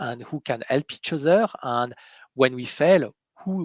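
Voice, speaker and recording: Against a quiet background, a man's bright, sharp voice carries lively intonation in a dry, close sound with no echo. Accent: French. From France. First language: French. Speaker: interviewer on coaching webcast. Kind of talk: interview conversation. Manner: halting, many fillers.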